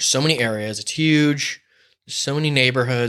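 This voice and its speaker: Someone with a Southern Californian accent talks at a very fast pace with fairly even intonation. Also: man. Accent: Southern Californian American. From San Diego, California (La Mesa, East County). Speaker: gaffer / set lighting technician. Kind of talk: casual chat.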